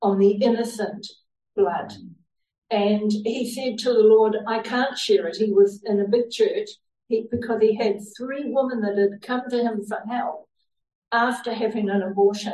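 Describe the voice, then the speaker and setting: A woman's fairly high, dark and mellow voice, somewhat breathy, at a fairly slow pace with fairly even intonation. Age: 70s. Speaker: lay preacher. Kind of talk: sermon. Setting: church.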